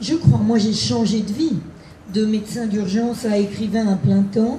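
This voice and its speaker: A woman at a fairly slow pace with ordinary pitch variation, audible room echo and noticeable background noise. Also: medium pitch for a woman. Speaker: novelist, former emergency doctor. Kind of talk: live author interview.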